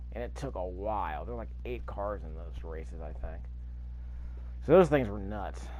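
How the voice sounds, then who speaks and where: A man talks at a fairly quick pace with audible room echo. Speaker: gaming youtuber. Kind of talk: gameplay commentary. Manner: stuttering, fumbling over words; casual, thinking aloud.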